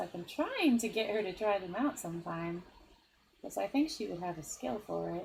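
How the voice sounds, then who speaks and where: Moderate-paced speech from a woman in a normal speaking voice, her pitch medium. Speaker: vtuber streamer. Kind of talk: casual chat. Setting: live stream.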